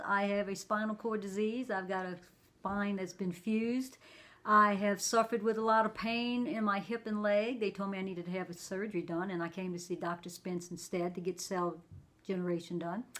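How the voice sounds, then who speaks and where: A normal speaking voice from a woman, medium in pitch, fairly quick in pace, with fairly even intonation. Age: 60s. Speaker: patient giving testimonial. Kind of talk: interview answer.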